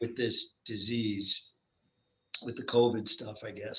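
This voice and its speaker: At a fairly slow pace, a man of medium pitch talks in an ordinary speaking voice. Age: 60s. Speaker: endurance athlete, triathlete. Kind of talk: casual interview chat.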